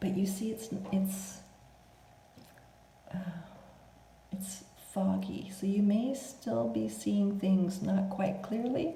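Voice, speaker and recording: A soft-spoken woman with a medium pitch talks at a very slow pace with lively intonation and long, frequent pauses. Music plays in the background, and the room echo is audible. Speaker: tarot reader. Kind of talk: spiritual reading.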